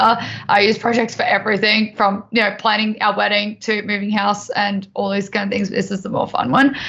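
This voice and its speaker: A woman with an Australian accent speaks in a fairly high pitch, her intonation flat and monotone. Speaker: tech presenter. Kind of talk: tutorial. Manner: casual, filler-heavy.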